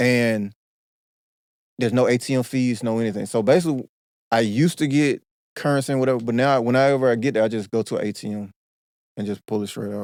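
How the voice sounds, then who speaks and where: A man with an American accent talks at medium pitch with fairly even intonation and long, frequent pauses. The recording is very clean and dry, close with no echo and a silent background. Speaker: podcast host. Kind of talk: casual chat.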